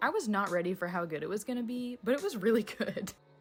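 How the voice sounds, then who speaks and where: Over music in the background, a woman speaks at a fairly quick pace with ordinary pitch variation. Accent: American. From United States. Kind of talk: casual talk to camera.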